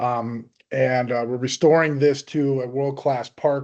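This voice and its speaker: A man at a medium pitch with fairly even intonation over a quiet background. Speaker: land conservation presenter. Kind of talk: presentation. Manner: fast; many fillers (um, uh).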